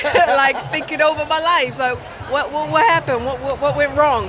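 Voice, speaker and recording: A woman with an American accent talks at a moderate pace over noticeable background noise, with audible room echo. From UK. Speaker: gospel singer. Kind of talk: casual interview. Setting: trade show stand.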